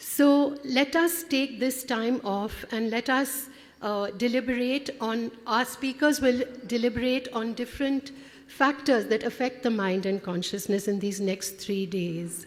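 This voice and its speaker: Over noticeable background noise, a woman speaks in a high pitch at a fairly slow pace with ordinary pitch variation. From India (Kolkata). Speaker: conference director. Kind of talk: welcome speech. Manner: halting.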